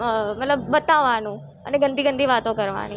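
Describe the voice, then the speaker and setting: The intonation is fairly even. The speaker is a woman. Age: 20s. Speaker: complainant in abuse case. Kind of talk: testimony. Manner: halting.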